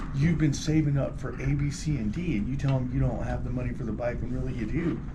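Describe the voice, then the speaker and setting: A man talks at a very fast pace. Audible room echo and noticeable background noise are present. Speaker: podcast co-host. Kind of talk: casual chat. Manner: loud.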